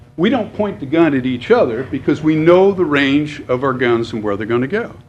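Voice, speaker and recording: Against noticeable background noise, a man speaks at a fairly quick pace in a fairly high pitch with very wide pitch swings. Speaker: public commenter. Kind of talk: public comment at government meeting.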